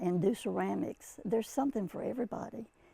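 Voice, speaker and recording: A woman speaks at a medium pitch with a dark, mellow tone. Her intonation is lively, and vocal fry runs through it. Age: 90s. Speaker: senior athlete and active lifestyle activist. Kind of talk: interview answer. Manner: hesitant, with many fillers.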